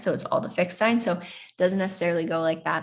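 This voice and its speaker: The voice is somewhat breathy and has ordinary pitch variation. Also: woman. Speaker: astrology teacher. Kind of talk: lecture. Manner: chatty; hesitant.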